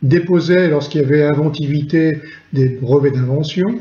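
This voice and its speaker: Speaking at a fairly slow pace, a man with a fairly high pitch has a dark, mellow, somewhat breathy tone, ordinary pitch variation and audible room echo. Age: 60s. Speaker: retired chemical industry engineer. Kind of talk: testimony. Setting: recorded at home during lockdown. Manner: halting, frequent hesitations.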